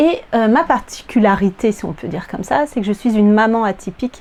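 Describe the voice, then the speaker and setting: Moderate pace, ordinary pitch movement, and a fairly high female voice. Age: 40s. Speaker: sewing vlogger, primary school teacher. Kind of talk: casual vlog chat. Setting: at home, in her apartment. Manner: hesitant, many filler words.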